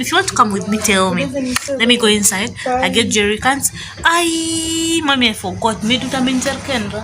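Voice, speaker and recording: A woman speaks at a fairly quick pace with a fairly high pitch, over noticeable background noise. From Uganda, Arua (West Nile). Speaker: vlogger. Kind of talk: casual vlog chat. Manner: energetic, animated.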